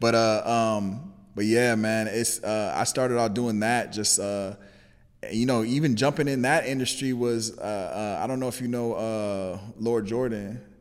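Audible room echo surrounds a man's voice. He talks at a fairly slow pace with fairly even intonation. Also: medium pitch for a man. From Los Angeles, California. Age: 30s. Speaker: entrepreneur and videographer. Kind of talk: casual interview.

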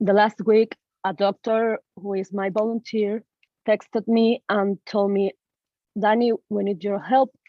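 In a Spanish accent, a woman talks at a fairly slow pace and a fairly high pitch. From Venezuela, Caracas. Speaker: medical student and activist. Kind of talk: interview.

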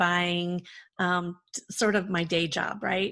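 In a quiet background, a woman speaks at a medium pitch in a flat monotone. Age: 40s. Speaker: event production company founder, former jazz singer. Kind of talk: interview. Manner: casual.

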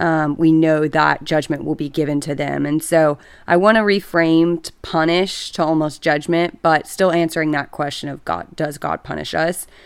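A woman with a Texan accent, very deep and low in pitch, with fairly even intonation, a moderate pace, hardly any pauses, and a very clean recording with a silent background. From Texas, Dallas. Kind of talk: casual chat. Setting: home, on a couch.

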